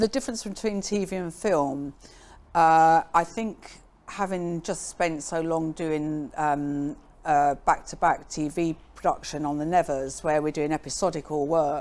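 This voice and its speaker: A woman's normal speaking voice, fairly low in pitch, with ordinary pitch variation and a fairly slow pace. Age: 60s. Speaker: makeup artist. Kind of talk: interview.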